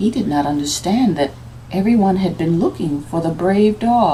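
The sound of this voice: The intonation stays lively throughout. It comes in an unforced reading voice.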